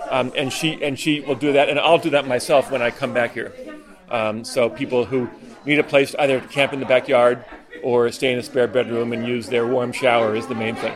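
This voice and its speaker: Noticeable background noise sits behind this man. He talks fairly quickly at a medium pitch with fairly even intonation. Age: 60s. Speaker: retired doctor and cyclist. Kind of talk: casual speech at a party.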